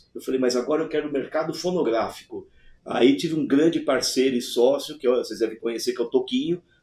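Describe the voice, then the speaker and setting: Fairly high in pitch yet dark and mellow in tone, a man's voice moves at a fairly quick pace with ordinary pitch variation. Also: hardly any pauses. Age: 60s. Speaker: alchemist and former music producer. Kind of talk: casual interview conversation.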